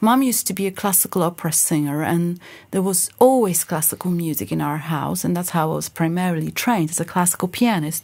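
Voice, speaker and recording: This woman speaks at a medium pitch with a Polish accent. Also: very clean recording, silent background. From Poland, Lodz. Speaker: singer and pianist. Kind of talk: interview.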